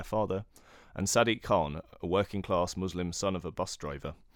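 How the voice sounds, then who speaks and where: Against a silent background in a very clean recording, a man with a very deep, low voice speaks with a British accent. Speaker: podcast host. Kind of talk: interview.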